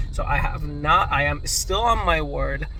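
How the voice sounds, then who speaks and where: A man with a non-native accent, amid audible room echo and noticeable background noise. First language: not English. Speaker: crypto YouTuber. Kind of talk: casual video monologue. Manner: stuttering, halting; repetitive, filler words.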